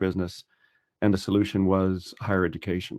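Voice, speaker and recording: With a Texas accent, a man rattles along at a very fast pace in a very deep, low pitch and monotone, flat intonation, captured in a very clean recording with a silent background. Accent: non-Irish, American (Texas). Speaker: financial adviser and student. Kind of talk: podcast interview. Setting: podcast.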